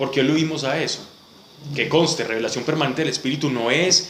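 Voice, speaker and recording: A man at a fairly high pitch and fairly quick pace, fairly even in intonation, with audible room echo and noticeable background noise. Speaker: Bible study teacher. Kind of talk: Bible study class.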